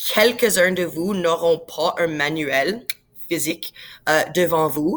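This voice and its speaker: A woman with an English accent, fairly low in pitch, at a very slow pace. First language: English (speaking French). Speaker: science teacher. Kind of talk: tutorial. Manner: casual, many fillers and English words.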